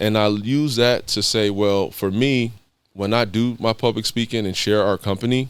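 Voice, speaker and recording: A man with an American accent talks in a normal speaking voice, fairly low in pitch and with fairly even intonation. The recording is very clean, with a silent background. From East Los Angeles, California. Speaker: former pro basketball player and mentor. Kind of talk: podcast interview. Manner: casual, conversational.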